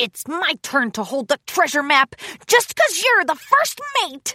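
This put-on character voice is high and gruff, moving at a fairly slow pace with very wide pitch swings. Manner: gruff grunting.

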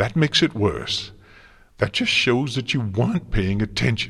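Putting on a character voice, a man speaks at a fairly slow pace and medium pitch with lively intonation, a bright, sharp tone, vocal fry and a slightly husky edge.

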